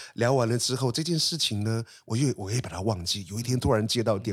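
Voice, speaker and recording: Somewhat breathy, a man talks at a very fast pace. His pitch is medium, with ordinary pitch variation. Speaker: artist. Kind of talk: interview.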